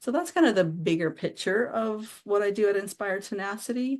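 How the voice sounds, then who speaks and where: A woman with a normal speaking voice, medium pitch, lively intonation and a fairly quick pace, against a quiet background. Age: 60s. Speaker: author and anthology curator. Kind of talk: podcast interview.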